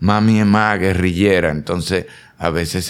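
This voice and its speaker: A man at a moderate pace with ordinary pitch variation, on a very clean recording over a silent background. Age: 50s. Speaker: actor and comedian. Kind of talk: casual chat. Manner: animated.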